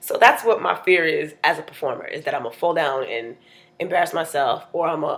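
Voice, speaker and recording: A woman's raspy put-on character voice, fairly low in pitch, animated in tone, at a fairly quick pace. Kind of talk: stand-up storytime. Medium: solo performance. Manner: animated, conversational, quick.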